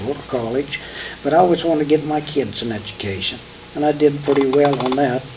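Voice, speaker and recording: With a Midwestern US accent, a man talks at a fairly quick pace in a fairly high pitch, with ordinary pitch variation over noticeable background noise. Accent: rural Midwestern American. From Kansas. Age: 70s. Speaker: retired farmer. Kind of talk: oral history interview. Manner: halting.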